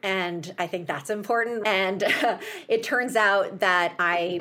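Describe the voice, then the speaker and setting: Woman with an American accent at medium pitch, with noticeable background noise. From US Midwest, Chicago. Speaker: healthcare startup founder. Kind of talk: interview.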